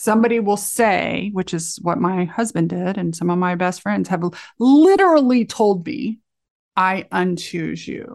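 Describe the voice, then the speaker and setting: Her pitch is medium for a woman, with ordinary variation. She speaks at a fairly slow pace. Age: 50s. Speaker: author and life coach. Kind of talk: interview conversation. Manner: animated.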